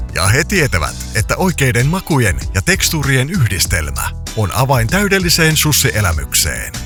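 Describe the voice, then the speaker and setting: Over music in the background, the speech moves at a fairly slow pace with very even loudness. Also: man. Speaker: voice-over artist. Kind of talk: radio commercial read.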